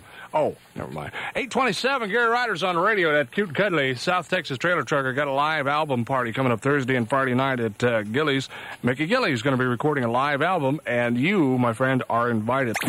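A man's playful voice, fairly high in pitch, with lively intonation and a fairly quick pace over noticeable background noise. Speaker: country radio DJ. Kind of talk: 1981 country radio DJ aircheck, promos, station IDs and song intros. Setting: radio studio broadcast. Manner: playful trucker-slang banter with a folksy, hyped-up radio delivery.

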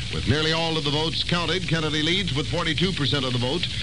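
Talking at a very fast pace, a man with an American accent and a fairly high voice comes through over noticeable background noise. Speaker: newsreader. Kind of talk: radio news reading, scripted bulletin. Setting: radio broadcast. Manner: formal, brisk, authoritative newscaster delivery.

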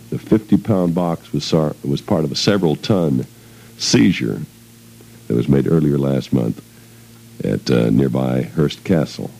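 Over noticeable background noise, a man with a very deep, low pitch talks at a fairly slow pace with long, frequent pauses. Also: lively intonation. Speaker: radio DJ. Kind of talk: 1970s radio DJ patter. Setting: radio studio. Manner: loose, rambling, bantering; jokey, self-deprecating, digressive.

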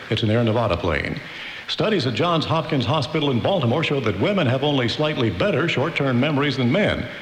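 A man speaks very fast with lively intonation at a very even loudness. Noticeable noise sits in the background. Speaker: radio news anchor. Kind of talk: news reading. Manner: formal, steady, even.

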